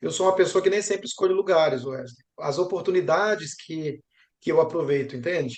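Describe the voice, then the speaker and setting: A high-pitched man speaking at a fairly quick pace with ordinary pitch variation. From Brazil. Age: young. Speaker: geography professor. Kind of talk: interview.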